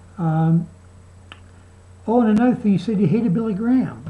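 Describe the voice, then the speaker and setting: A woman speaks fairly quickly in a somewhat breathy voice with a dark, mellow tone and very wide pitch swings. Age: 60s. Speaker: video blogger. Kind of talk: video response monologue. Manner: halting.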